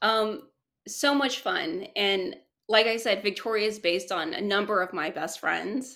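Heard in a very clean recording with a silent background, a woman speaks at a fairly slow pace and medium pitch with a bright, sharp tone and ordinary pitch variation. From South Korea. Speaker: screenwriter and producer. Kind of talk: interview. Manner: hesitant, many fillers.

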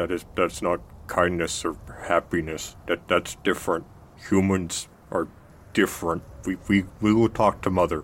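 Using a put-on character voice, a man talks at a fairly slow pace. His pitch is very deep and low, with long, frequent pauses. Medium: actual play. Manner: hesitant, simple.

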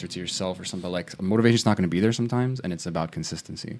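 With lively intonation at a very fast pace, a man speaks at a medium pitch. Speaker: podcast co-host. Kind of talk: casual chat. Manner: fast talker.

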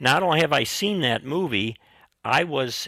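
A man speaks at a moderate pace with vocal fry. His tone is bright and sharp, his intonation lively. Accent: American. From US Midwest. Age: 70s. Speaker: retired professor and teaching mentor. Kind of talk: interview conversation.

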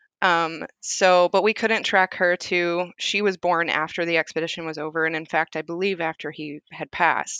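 In an American accent, a woman with a fairly low pitch and a bright, sharp tone speaks in a monotone, flat way at a moderate pace, with a quiet background and a dry, close sound with no echo. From US South, rural Tennessee. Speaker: podcast guest, tech worker and mother. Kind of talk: casual chat.

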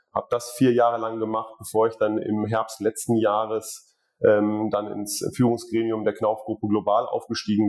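The recording is very clean, with a silent background. A man speaks at a moderate pace in a fairly low pitch. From Ruhr area, Germany. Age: 40s. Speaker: building materials executive. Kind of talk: interview.

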